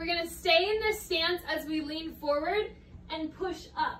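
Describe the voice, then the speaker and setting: Amid light background noise and audible room echo, a woman with an extremely high pitch speaks at a very slow pace with ordinary pitch variation. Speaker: fitness instructor. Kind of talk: workout instruction. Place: home room. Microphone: camera far.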